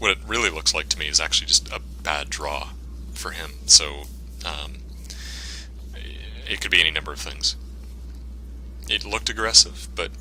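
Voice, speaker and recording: With long, frequent pauses and big swings in loudness, a man speaks at a moderate pace in a very deep, low pitch with fairly even intonation, against noticeable background noise. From Canada. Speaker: gaming commentator. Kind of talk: gameplay commentary. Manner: casual, hesitant with fillers.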